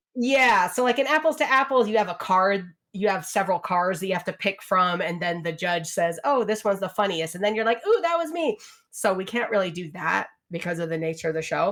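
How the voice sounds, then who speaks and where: The delivery moves at a fairly quick pace with ordinary pitch variation. It is an ordinary speaking voice. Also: woman. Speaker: podcast guest. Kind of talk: casual chat.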